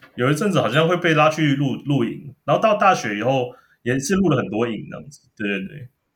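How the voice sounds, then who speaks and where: Fairly high for a man and somewhat breathy, his voice moves at a fairly quick pace through very wide pitch swings. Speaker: former TV producer. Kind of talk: casual chat. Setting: remote call.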